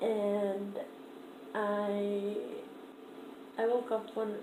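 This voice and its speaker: The clip carries audible room echo and noticeable background noise. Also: woman. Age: 20s. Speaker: vlogger. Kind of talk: casual vlog. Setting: at home, downstairs room. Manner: hesitant, many fillers; shaky voice.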